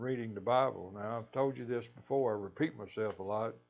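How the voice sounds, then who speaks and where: A man talks in a Kentucky accent at medium pitch. His pitch variation is ordinary. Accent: US Southern, Kentucky. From western Kentucky. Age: 70s. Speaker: lay preacher. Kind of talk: devotional talk. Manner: halting, repeats words.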